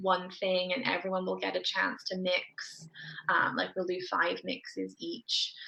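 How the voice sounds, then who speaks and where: A woman speaks in a soft-spoken voice. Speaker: dietitian running kids' nutrition programs. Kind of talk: interview.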